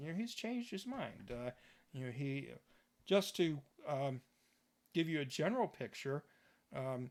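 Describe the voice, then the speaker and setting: With an American accent, a man speaks in a fairly high pitch with lively intonation at a moderate pace, leaving long, frequent pauses. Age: 60s. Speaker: political commentary podcaster. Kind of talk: solo commentary monologue. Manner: hesitant, many filler words.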